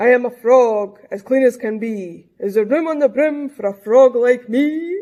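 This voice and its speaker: A put-on character voice, fairly high in pitch, at a moderate pace with hardly any pauses. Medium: read story.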